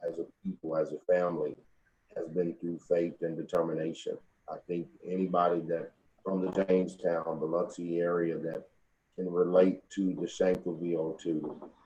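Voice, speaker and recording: In an East Texas accent, a man with a very deep, low pitch and a dark, mellow tone talks at a moderate pace with flat, monotone intonation. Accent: Southern US (East Texas). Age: 40s. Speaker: funeral home owner. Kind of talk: interview.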